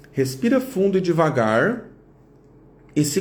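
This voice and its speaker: Here a man speaks at a very slow pace in a high pitch. Audible room echo surrounds his voice. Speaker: psychologist. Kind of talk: live stream talk. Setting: Instagram live. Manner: slower, guided exercise.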